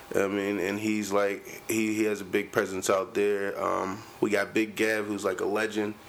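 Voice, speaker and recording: Hardly pausing, a man with an American accent speaks at a moderate pace in a fairly low pitch with monotone, flat intonation. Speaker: rapper. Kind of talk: casual chat. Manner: aggressive tone.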